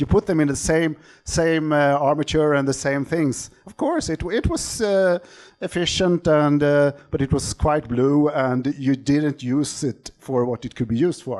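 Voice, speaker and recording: A man's fairly high voice with a Swedish accent at a fairly slow pace. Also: ordinary pitch variation. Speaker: optical engineer, company CEO. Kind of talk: conference talk. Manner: halting, many fillers.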